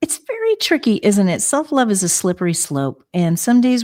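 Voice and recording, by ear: On a very clean recording with a silent background, a woman speaks at a fairly slow pace with a slightly mellow tone and big pitch swings.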